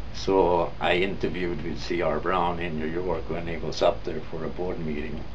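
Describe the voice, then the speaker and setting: A man's very deep, low voice with a Swedish accent, at a moderate pace with hardly any pauses and ordinary pitch variation, over noticeable background noise. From Sweden. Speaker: former auto parts manager. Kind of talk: interview testimony.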